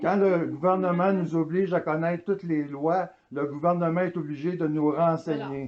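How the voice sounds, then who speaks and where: Very even in loudness, a man speaks at a high pitch and moderate pace with fairly even intonation. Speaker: citizen auditor. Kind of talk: heated argument.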